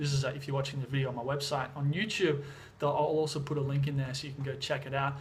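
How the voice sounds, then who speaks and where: Talking very fast at a fairly high pitch, a man with an Australian accent is heard over noticeable background noise and audible room echo. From Australia, Sydney. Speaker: vlogger and music producer. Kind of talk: casual vlog. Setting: at home in Thailand. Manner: casual, many fillers.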